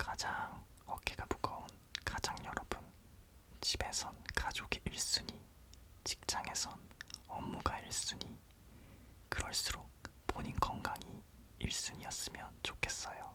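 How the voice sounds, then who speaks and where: A man whispers at a very slow pace with long, frequent pauses over noticeable background noise. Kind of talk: ASMR whisper parody of a TV commercial. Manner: whispered.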